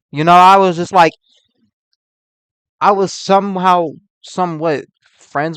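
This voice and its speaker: A man is heard in a dry, close sound with no echo. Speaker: reaction youtuber. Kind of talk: reaction commentary. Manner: halting; casual, slangy.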